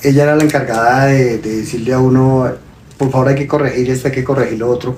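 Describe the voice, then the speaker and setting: There is audible room echo around a man with a medium pitch. His voice is somewhat breathy, and his pace is moderate. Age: 60s. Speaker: father of the host, sharing mental health experience. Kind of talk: testimony. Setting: live stream.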